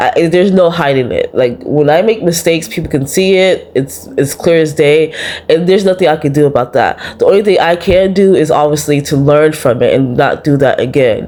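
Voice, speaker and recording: Soft-spoken and fairly low in pitch, a woman talks at a fairly quick pace with very even loudness. Her pitch variation is ordinary, and there is noticeable background noise. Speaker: vlogger. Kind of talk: personal vlog monologue. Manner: soft-spoken, talks low.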